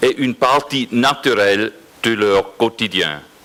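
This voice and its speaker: Over noticeable background noise, a man with a medium-pitched voice talks at a very slow pace. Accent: non-native. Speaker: regional politician. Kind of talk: reading aloud a prepared speech. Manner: halting.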